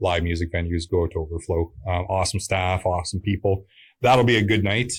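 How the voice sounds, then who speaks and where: A man speaks at a moderate pace in a very deep, low pitch. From Pembroke, Ontario, Canada. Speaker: musician. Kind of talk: interview. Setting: studio. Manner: hesitant with many fillers.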